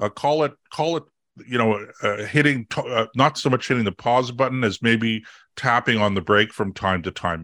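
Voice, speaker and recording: This man has a Canadian accent and a bright, sharp tone. He talks at a moderate pace with ordinary pitch variation on a very clean recording with a silent background. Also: medium pitch for a man, dry, close sound with no echo. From Canada. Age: 60s. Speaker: conservative political commentator. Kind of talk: interview. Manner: halting, many fillers and repeats; passionate.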